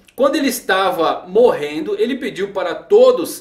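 Audible room echo around a man, his pace fairly slow. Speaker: anime commentary youtuber. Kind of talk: commentary. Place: home room.

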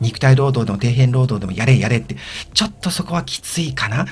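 A man talks at a medium pitch, and noticeable background noise is heard throughout. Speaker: video blogger. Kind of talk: casual monologue. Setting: old house, recorded solo. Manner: hesitant with many fillers.

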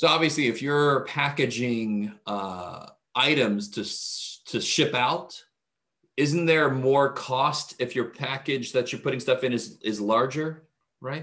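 Over a quiet background, a man talks at a fairly slow pace. His pitch variation is ordinary. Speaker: math instructor. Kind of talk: lecture. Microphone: webcam.

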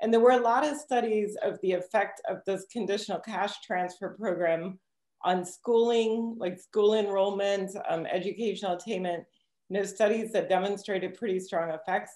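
Over a quiet background with audible room echo, a woman speaks at a moderate pace in a dark, mellow tone with fairly even intonation. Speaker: presenter. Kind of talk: lecture. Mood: relaxed, occasionally laughing. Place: home room. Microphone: webcam.

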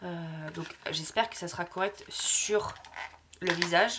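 Against noticeable background noise, a woman speaks at a very slow pace with ordinary pitch variation. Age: 20s. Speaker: lifestyle vlogger. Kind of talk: casual vlog to camera.

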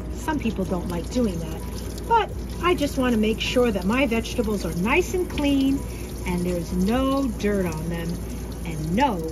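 There is noticeable background noise as a woman talks. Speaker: teacher cooking for students. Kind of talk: tutorial. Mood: warm, patient, teacherly. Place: kitchen. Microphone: phone near.

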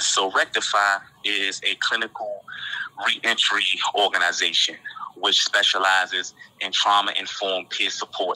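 Over noticeable background noise, a man with an American accent talks at a moderate pace, leaving long, frequent pauses. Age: 30s. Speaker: formerly incarcerated nonprofit co-founder. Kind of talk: interview testimony.

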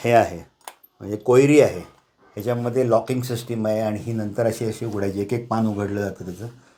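A man's normal speaking voice at a medium pitch with fairly even intonation. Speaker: retired manager and private museum owner. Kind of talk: guided museum tour. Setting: small home museum room.

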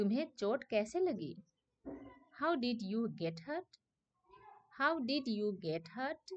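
Her pitch fairly high and swinging very widely, a woman speaks with long, frequent pauses. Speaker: English teacher. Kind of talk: language lesson, reading sentence pairs aloud. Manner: slow, repetitive dictation.

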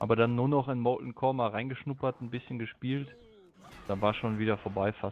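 An ordinary speaking voice moves at a fairly quick pace. Its intonation stays fairly even. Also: man, medium pitch for a man. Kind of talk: casual chat.

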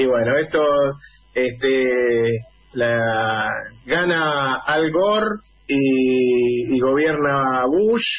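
At a very slow pace, a man speaks at a medium pitch with ordinary pitch variation and very even loudness over noticeable background noise. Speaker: radio host. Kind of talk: radio interview and political commentary. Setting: radio studio.

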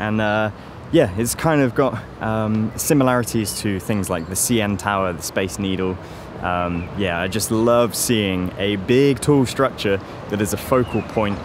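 A man with a fairly low pitch speaks at a fairly slow pace with ordinary pitch variation, the dry sound carrying no echo despite noticeable background noise. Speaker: travel vlogger. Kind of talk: casual vlog chat. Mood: cheerful, relaxed. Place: street. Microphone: phone near.

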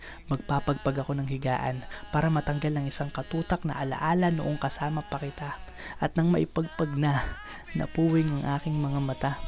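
Over music in the background, a soft-spoken woman with a gentle tone and a very deep, low pitch talks at a moderate pace. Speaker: spoken word poet. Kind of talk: spoken word poetry performance. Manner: gentle, soft delivery.

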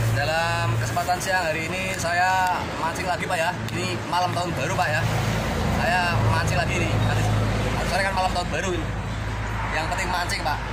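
A man keeps a fairly quick pace while crowd noise fills the background. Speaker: fishing vlogger. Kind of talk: casual vlog chat. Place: waterside. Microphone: phone near.

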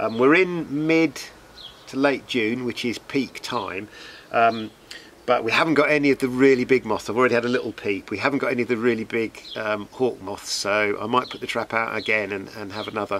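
Man speaking at a fairly quick pace, ordinary pitch variation, light background noise. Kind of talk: casual outdoor tutorial. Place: garden. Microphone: camera far.

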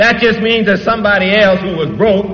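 Here a man speaks with an American accent and a high pitch. Room echo can be heard around him. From Detroit. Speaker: preacher. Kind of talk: church sermon. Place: church. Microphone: old recording.

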